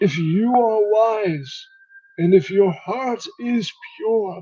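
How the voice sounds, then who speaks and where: Using a put-on character voice, a man speaks at a very slow pace with a high pitch and ordinary pitch variation. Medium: actual play. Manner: calm, solemn, fatherly.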